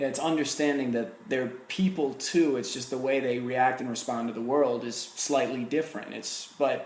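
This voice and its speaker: The speaker has an American accent and talks at a moderate pace with ordinary pitch variation. There is audible room echo and noticeable background noise. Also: man. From New Jersey. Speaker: podcast host. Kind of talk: interview conversation.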